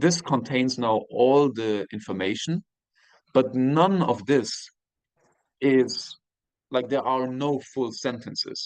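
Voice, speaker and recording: Talking at a very slow pace with long, frequent pauses, a man with a German accent uses a medium pitch and ordinary pitch variation. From Germany, moved early to Austria. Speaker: university professor. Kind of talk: lecture. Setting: video call. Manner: halting.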